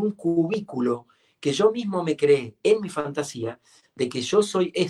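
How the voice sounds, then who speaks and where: This man has a normal speaking voice, fairly high in pitch, with lively intonation at a fairly slow pace. The sound is dry and close, with no echo. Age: 50s. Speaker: coach and author. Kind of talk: interview. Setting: live stream.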